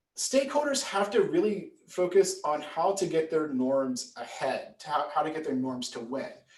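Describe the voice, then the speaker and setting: A man talks at a fairly slow pace in a high voice with very wide pitch swings. Audible room echo surrounds his speech. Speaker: political science professor. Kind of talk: lecture. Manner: animated.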